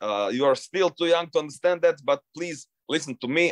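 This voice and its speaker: A man with a Croatian accent speaks at a moderate pace with lively intonation. The sound is dry and close, with no echo. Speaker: long-distance swimmer. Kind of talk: interview. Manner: halting.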